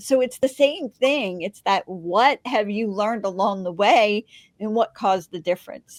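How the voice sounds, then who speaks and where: A woman's fairly high-pitched, normal speaking voice at a moderate pace, with ordinary pitch variation and a dry, close sound with no echo. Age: 60s. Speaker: podcast host and magazine publisher. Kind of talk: interview. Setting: podcast.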